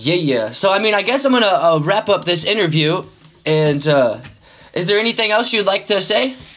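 A man speaks at a moderate pace and high pitch, with very wide pitch swings but very even loudness. There is noticeable background noise. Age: 20s. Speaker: podcast host. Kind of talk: casual interview chat. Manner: casual, friendly.

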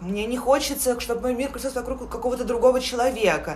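There is audible room echo around a woman speaking at a high pitch. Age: 20s. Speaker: podcast co-host. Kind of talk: casual chat.

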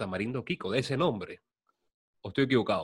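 His intonation is lively and his voice somewhat breathy. The man speaks at a fairly quick pace. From Venezuela. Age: 30s. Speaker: podcast host. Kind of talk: casual interview.

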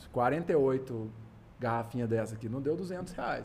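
A plain, everyday voice, a man's at medium pitch, moves fairly slowly with lively intonation. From Minas Gerais, Brazil. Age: 40s. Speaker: craft brewer. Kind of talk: casual chat.

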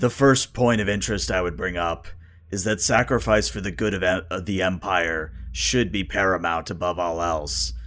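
A man's put-on character voice, raspy and very deep in pitch, at a moderate pace. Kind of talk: solemn fantasy roleplay. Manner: grave, formal, storytelling.

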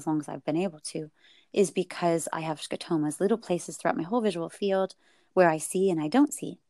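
A woman speaks at a fairly quick pace with a fairly low pitch and ordinary pitch variation, recorded very cleanly with a silent background and a dry, close sound with no echo. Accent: Californian. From US West Coast, Silicon Valley. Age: 40s. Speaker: adoptive mother and counselor. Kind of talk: interview.

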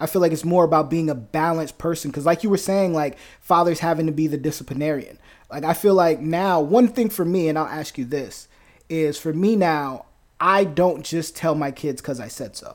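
Using a plain, everyday voice, a man with an American accent and fairly high pitch talks at a fairly quick pace with ordinary pitch variation. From New Jersey. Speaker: podcast host. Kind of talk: casual chat. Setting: video call.

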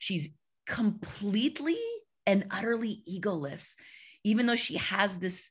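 Her tone is animated and somewhat breathy. The woman speaks at a fairly slow pace. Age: 40s. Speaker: puppeteer. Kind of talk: casual chat.

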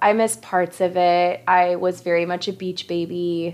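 Speaking fairly slowly, a woman uses a fairly low pitch. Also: quiet background. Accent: West Coast American. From Southern California. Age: 30s. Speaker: podcast co-host. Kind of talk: casual chat.

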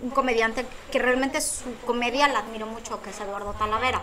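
A woman's voice rises and falls in an ordinary way, with audible echo from the room and noticeable noise behind her. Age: 40s. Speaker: comedian and psychologist. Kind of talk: casual chat.

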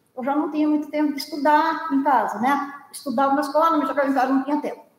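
Audible room echo surrounds a woman as she speaks. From São Luiz do Paraitinga, São Paulo interior. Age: 70s. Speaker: viola folk musician. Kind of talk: life story interview.

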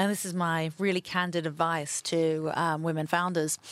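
Recorded very cleanly against a silent background, a woman speaks at a fairly low pitch with fairly even intonation. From London, England. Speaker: venture capital investor. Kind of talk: interview conversation.

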